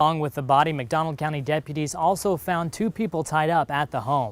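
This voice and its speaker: A man talks at a fairly quick pace with ordinary pitch variation. It is a normal speaking voice. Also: fairly high pitch for a man. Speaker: television news reporter. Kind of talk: TV news package narration.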